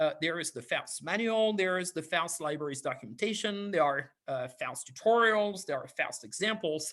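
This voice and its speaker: Barely pausing, a man speaks at a moderate pace and a high pitch, his tone bright and sharp and his intonation lively. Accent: French. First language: French. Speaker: university lecturer. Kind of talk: lecture. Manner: hesitant, many fillers.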